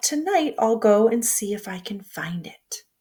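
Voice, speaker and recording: Putting on a character voice, a woman talks at a moderate pace and a fairly high pitch. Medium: read story. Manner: gentle, wondering.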